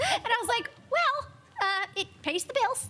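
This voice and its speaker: With music playing behind her, a woman speaks at a moderate pace in a raised, projected voice. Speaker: voice actor. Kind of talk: convention panel. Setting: stage with audience.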